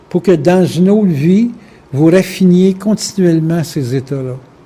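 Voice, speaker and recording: Fairly slow, dark and mellow male speech with ordinary pitch variation. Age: 60s. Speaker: spiritual lecturer. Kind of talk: lecture. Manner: casual, conversational.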